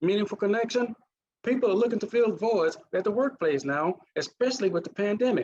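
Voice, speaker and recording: A fairly quick delivery in a Mississippi accent, with ordinary pitch variation. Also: man. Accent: Mississippi accent, still present. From US South, Mississippi. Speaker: naval officer and leadership trainer. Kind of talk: conference presentation.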